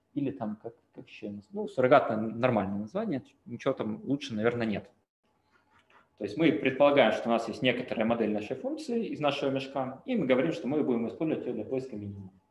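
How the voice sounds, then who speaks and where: In a room with audible echo, a man at medium pitch talks very fast with lively intonation and big swings in loudness. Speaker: machine learning researcher. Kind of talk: lecture. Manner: halting. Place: home room. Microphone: webcam.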